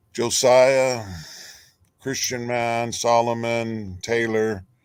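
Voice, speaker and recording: Speech in an American accent moves at a very slow pace with a monotone, flat intonation. Audible room echo is present. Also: man, medium pitch for a man. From California. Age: 60s. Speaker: viewer joining a live stream. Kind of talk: casual chat. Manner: halting.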